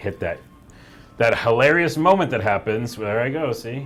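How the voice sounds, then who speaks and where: Lively intonation marks this man's medium-pitched voice, with music playing in the background. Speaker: game studio staffer hosting a live stream. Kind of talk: casual chat. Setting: office live stream. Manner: loud; animated.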